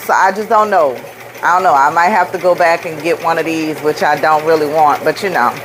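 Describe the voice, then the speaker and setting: Over noticeable background noise, a woman with a New Orleans accent speaks with ordinary pitch variation. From New Orleans, US South. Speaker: rhinestone craft business owner, livestreamer. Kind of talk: live stream chat and craft demo. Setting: live video stream. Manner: animated, chatty.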